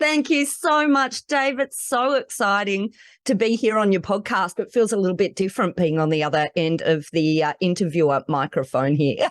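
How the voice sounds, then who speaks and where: Against a quiet background, a woman with an Australian accent speaks with very wide pitch swings, very even loudness and hardly any pauses, in a dry, close sound with no echo. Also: medium pitch for a woman, moderate pace. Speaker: lawyer and podcast host. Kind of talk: interview.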